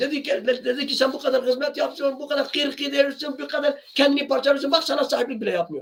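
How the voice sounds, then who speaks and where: A man's extremely high-pitched voice at a fairly quick pace. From Kurdish region of Turkey. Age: 60s. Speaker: singer and channel owner. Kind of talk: monologue to camera. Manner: impassioned; sometimes raises voice.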